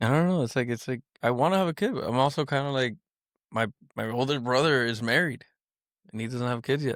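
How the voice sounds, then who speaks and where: A man mumbles very fast at a medium pitch with ordinary pitch variation and long, frequent pauses. The recording is very clean, dry and close, with no echo and a silent background. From Miami, Florida. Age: 30s. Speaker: manufacturing controls engineer. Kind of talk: casual chat. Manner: mumbling.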